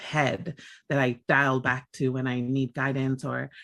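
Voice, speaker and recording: Against a quiet background, a woman speaks in a very deep, low pitch. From Tonga, then California from age 13. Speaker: community advocate and organizer. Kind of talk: interview conversation. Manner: hesitant, many fillers.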